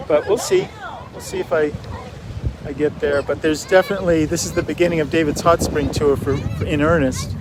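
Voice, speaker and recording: Over crowd noise in the background, a man speaks at a fairly quick pace with a fairly high pitch and ordinary pitch variation. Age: 60s. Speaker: artist vlogger. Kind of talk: casual vlog monologue. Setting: outdoors. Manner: halting, many fillers.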